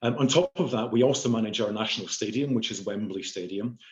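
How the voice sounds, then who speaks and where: A man speaks with a slight Scottish accent and fairly even intonation. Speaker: chief information officer. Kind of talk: panel discussion. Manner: hesitant, many fillers.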